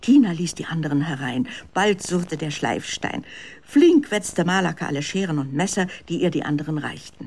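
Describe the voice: With lively intonation and a slightly mellow tone, the voice moves at a moderate pace with few pauses.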